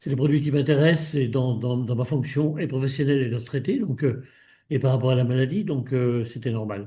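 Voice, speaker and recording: Over a quiet background, a man talks at a fairly quick pace with a medium pitch and ordinary pitch variation. His tone is dark and mellow, and somewhat breathy. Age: 70s. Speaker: retired mountain guide, consumer giving testimony. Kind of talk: interview testimony. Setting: video call. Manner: hesitant, many fillers.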